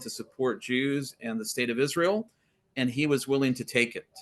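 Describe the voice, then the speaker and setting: With an American accent, a man speaks at a moderate pace and medium pitch, using ordinary pitch variation. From Texas. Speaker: scholar guest on faith podcast. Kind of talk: interview conversation.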